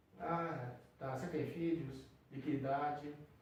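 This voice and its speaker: A man talks at a very slow pace, with audible room echo and noticeable background noise around him. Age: 70s. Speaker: psychiatrist. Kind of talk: interview conversation. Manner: halting.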